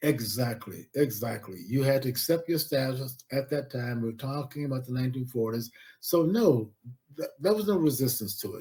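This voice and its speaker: With an American accent, a man speaks at a moderate pace in a medium pitch, his tone dark, mellow and somewhat breathy, with ordinary pitch variation. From Central Florida, US South. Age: 80s+. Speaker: historian and professor. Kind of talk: interview.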